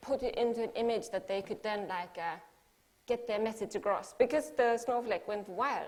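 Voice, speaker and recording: A woman talks at a moderate pace with ordinary pitch variation. Her pitch sits fairly high. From Finland. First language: Finnish. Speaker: artist. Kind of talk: talk to an audience.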